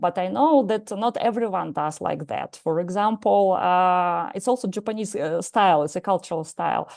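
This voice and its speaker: In a quiet background, a woman speaks with a Russian accent. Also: medium pitch for a woman, lively intonation, moderate pace. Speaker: psychologist and martial arts teacher. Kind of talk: lecture. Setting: live lecture with audience. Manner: halting, many hesitations.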